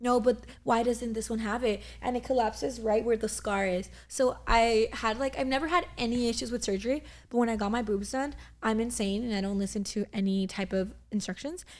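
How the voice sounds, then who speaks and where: A woman at a fairly high pitch and fairly quick pace, with ordinary pitch variation. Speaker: podcast co-host. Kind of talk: casual chat.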